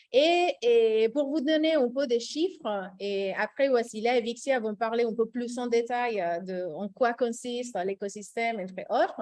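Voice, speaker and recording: A woman's fairly high voice in a slight Costa Rican accent, with lively intonation, a fairly slow pace and hardly any pauses. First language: Spanish (speaking French). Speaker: recruitment director, webinar host. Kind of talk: webinar presentation. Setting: Zoom webinar. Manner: hesitant, many fillers.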